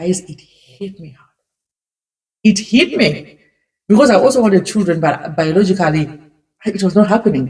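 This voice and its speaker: The woman's tone is dark and mellow, somewhat breathy. Her intonation is lively. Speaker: immigrant. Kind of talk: casual talk to camera. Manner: emotional.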